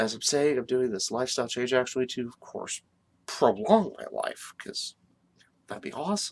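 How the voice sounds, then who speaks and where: Soft-spoken, medium-pitched male voice at a moderate pace, with lively intonation and big swings in loudness. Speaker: wrestling commentary vlogger. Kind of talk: casual vlog talk. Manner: hesitant, many fillers.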